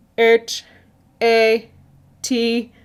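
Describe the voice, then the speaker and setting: A put-on character voice, female-sounding, fairly high in pitch, with monotone, flat intonation. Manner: spelling out letters.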